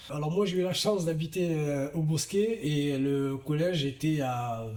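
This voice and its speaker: The pitch moves with ordinary variation. Noticeable noise sits in the background. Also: man. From southern France, Gard (Vauvert). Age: 30s. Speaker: professional boxer. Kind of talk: interview testimony. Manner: halting, many fillers.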